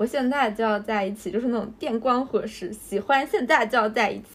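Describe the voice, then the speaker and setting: Using an ordinary speaking voice, a woman talks at a fairly quick pace with a fairly high pitch and fairly even intonation. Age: 30s. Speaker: podcast co-host. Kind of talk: casual chat.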